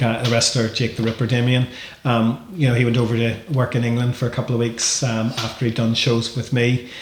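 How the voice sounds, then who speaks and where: Speech comes at a fairly quick pace with monotone, flat intonation and very even loudness. Background noise is noticeable. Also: man, medium pitch for a man. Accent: Northern Irish. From Northern Ireland. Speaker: wrestling promoter. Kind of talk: podcast interview. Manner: hesitant, many repetitions.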